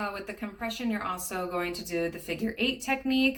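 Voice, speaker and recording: A woman speaks with ordinary pitch variation. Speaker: nursing student. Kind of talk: tutorial. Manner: halting.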